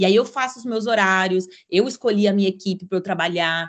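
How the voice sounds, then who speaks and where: This woman has an ordinary speaking voice, medium in pitch, with lively intonation and a fairly quick pace. The background is quiet. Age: 20s. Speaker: content creator and digital nomad. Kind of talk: podcast interview.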